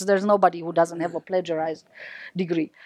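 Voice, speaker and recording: A woman with a Romanian accent, in a dry, close sound with no echo. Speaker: professor. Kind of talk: lecture. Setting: stage with audience.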